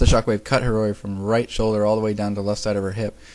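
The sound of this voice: Simply an unforced reading voice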